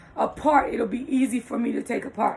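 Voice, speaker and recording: Over noticeable background noise, a woman speaks at a moderate pace in a high pitch with fairly even intonation. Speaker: blind lifestyle vlogger. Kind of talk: tutorial. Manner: hesitant, many fillers.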